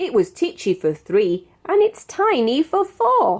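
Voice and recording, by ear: With a British accent, a woman performs a put-on character voice, high-pitched with very wide pitch swings, at a fairly slow pace.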